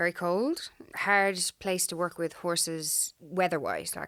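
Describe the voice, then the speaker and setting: The background is silent and the recording very clean. A woman talks at a fairly slow pace. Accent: strong Irish. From Ireland. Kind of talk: casual interview.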